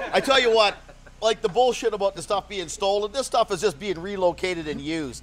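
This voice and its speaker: Loud and fairly quick, a man speaks at a high pitch with ordinary pitch variation over noticeable background noise. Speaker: local resident fighting wildfire. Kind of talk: on-the-street interview.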